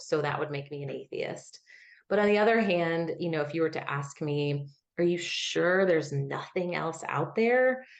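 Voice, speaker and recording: Lively intonation marks a woman's fairly low-pitched voice, delivered at a moderate pace. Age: 30s. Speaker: academic with a Ph.D., former missionary. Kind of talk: personal testimony interview. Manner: smooth and assured.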